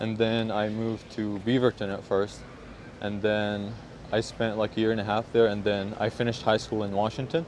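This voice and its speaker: This man's fairly low voice stays monotone, with flat intonation. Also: moderate pace. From Syria. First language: Arabic. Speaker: hip hop producer. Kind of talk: casual interview chat. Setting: outdoors on the street.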